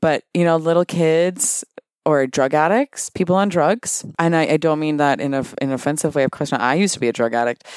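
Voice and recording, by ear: The man's voice sits fairly high in pitch, with a clear, smooth tone, ordinary pitch variation and a fairly quick pace, recorded with a dry, close sound with no echo.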